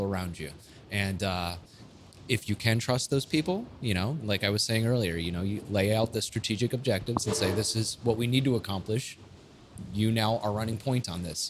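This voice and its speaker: Noticeable background noise behind a man talking fairly quickly, his pitch in ordinary variation. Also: fairly low pitch for a man. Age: 30s. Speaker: brewery owner and Air Force veteran. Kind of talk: casual chat. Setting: in a brewery.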